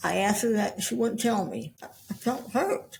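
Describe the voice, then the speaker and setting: Fairly slow, somewhat breathy speech from a woman at a medium pitch. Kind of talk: interview. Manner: halting, repeats words.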